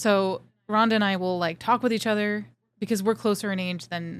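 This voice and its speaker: A woman talks at a fairly quick pace, her medium pitch moving with ordinary variation. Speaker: podcast co-host. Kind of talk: casual chat.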